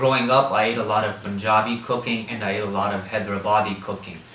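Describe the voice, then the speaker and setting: A man speaks with an American accent, with noticeable background noise and audible room echo. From US, Washington DC area. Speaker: interviewee. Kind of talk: interview. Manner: hesitant, many fillers.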